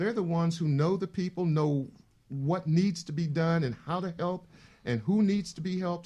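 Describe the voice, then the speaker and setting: At a moderate pace, a man with a high pitch and a dark, mellow tone speaks with ordinary pitch variation. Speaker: nonprofit president. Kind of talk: panel interview, casual but professional. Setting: studio.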